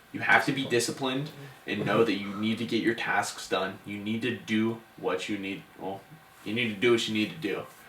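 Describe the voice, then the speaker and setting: A man with a mid-range pitch and fairly level intonation talks in a room with audible echo and noticeable noise behind him. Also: moderate pace. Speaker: podcast co-host. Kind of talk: casual podcast chat wrapping up episode. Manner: stuttering.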